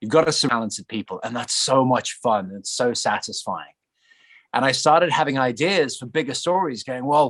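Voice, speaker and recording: Loudness swings widely in this fairly quick delivery with lively intonation and an English accent. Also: man, medium pitch for a man. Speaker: actor. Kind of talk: interview.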